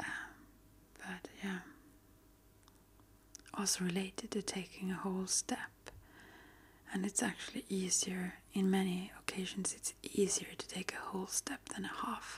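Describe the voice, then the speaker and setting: The speaker whispers fairly slowly, stopping often for long pauses. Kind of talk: ASMR soft-spoken healing talk. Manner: soft-spoken.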